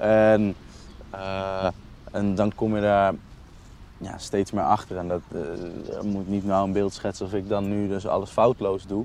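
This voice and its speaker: Monotone, flat intonation at a fairly slow pace, with long, frequent pauses. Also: man, fairly low pitch for a man. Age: 20s. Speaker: youth worker. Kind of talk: casual conversation. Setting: outdoors, walking through the city. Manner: halting.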